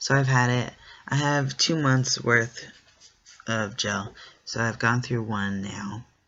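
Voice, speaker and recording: A man speaks at a medium pitch with fairly even intonation. His pace is very slow, broken by long, frequent pauses. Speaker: vlogger. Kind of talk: casual vlog update.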